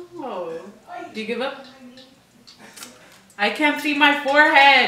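A woman's raised, projected voice, high-pitched with lively intonation and big swings in loudness, over light background noise and audible room echo. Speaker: vlogger. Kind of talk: casual talk to camera, playing a game with a friend. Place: home room.

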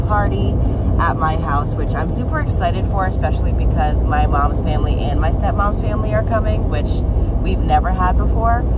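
Over loud background noise, a woman speaks at a fairly quick pace with ordinary pitch variation in a dry sound with no echo. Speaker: vlogger. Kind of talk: casual vlog chat. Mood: excited, upbeat. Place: car. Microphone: phone near.

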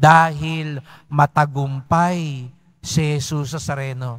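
Against a quiet background, a somewhat breathy man speaks at a very slow pace with ordinary pitch variation. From Philippines. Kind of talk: preacher homily. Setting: church. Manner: animated, repetitive, emphatic; conversational, directly addresses congregation. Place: church. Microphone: podium.

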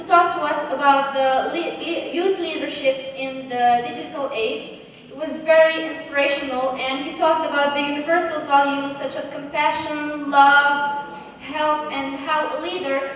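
A woman's high, monotone voice with flat intonation, strong room echo and light background noise. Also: moderate pace. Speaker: speaker. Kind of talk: talk to an audience. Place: stage.

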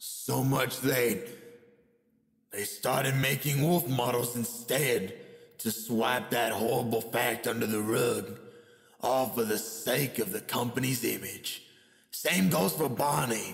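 A man performs a put-on character voice at a medium pitch, speaking at a fairly slow pace with long, frequent pauses. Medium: dub.

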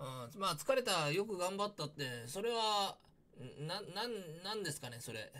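Using a raised, projected voice with a bright, sharp tone, a man speaks at a moderate pace with very wide pitch swings. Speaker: YouTuber discussing news. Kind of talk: casual commentary. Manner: halting, many fillers. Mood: critical, opinionated.

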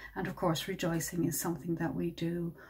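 At a moderate pace, a woman speaks in a fairly low pitch with a dark, mellow tone and vocal fry. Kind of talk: reflective dharma talk. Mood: warm, gentle, happy. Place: home room.

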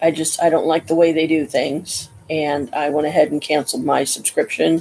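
At a moderate pace, a woman speaks in a very deep, low pitch with monotone, flat intonation over light background noise. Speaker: home vlogger. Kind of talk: casual vlog chat. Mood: annoyed, complaining. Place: home room. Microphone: webcam.

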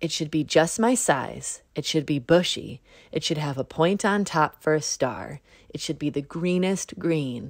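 A woman uses a put-on character voice, low in pitch, with lively intonation at a fairly slow pace and few pauses. The recording is very clean with a silent background.

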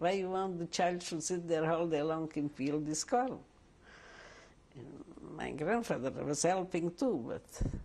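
Ordinary pitch variation moves through a dark, mellow tone. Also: woman. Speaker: interviewee. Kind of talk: interview answer. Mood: warm, reminiscing. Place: home room.

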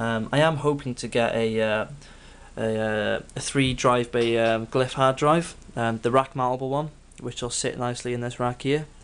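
In a medium pitch, a man delivers his words with monotone, flat intonation. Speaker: home studio music producer. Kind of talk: tutorial gear walkthrough. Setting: home studio, video. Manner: hesitant, filler-heavy.

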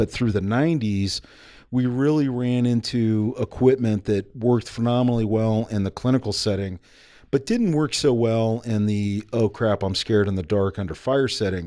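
In an American accent, a man with a dark, mellow tone speaks at a moderate pace with ordinary pitch variation against a quiet background. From United States. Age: 40s. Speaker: army special forces veteran and entrepreneur. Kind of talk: casual interview. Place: studio. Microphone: studio mic.

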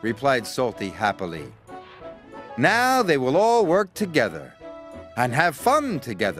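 This is an unforced reading voice. Nothing more is heard beyond it.

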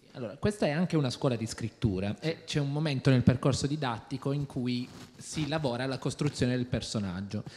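This man speaks at a fairly quick pace, somewhat breathy, with ordinary pitch variation. Light background noise can be heard. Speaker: audience member asking questions; audience member. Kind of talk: audience question. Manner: halting. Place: stage. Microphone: handheld.

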